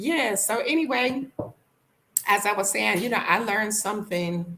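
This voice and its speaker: A woman's voice with a lively, bouncing intonation. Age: 50s. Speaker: vlogger. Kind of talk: casual livestream chat. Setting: live stream. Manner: animated.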